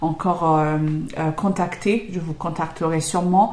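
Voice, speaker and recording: A woman with a non-native accent speaks at a fairly low pitch with fairly even intonation. There is noticeable background noise. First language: not French (speaking French). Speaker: YouTuber and English trainer. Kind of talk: casual Q&A monologue. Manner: hesitant, many fillers.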